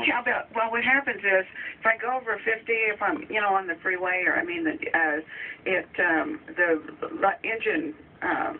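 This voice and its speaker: A woman with fairly high pitch talks at a moderate pace, her pitch swinging very widely against noticeable background noise. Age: 60s. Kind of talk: radio interview answer. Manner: hesitant, halting.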